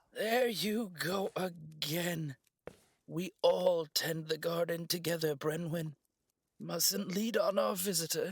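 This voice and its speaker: A raspy, high-pitched put-on character voice from a man, at a fairly slow pace with ordinary pitch variation and a dry, close sound with no echo. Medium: audio drama. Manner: warm, gently teasing.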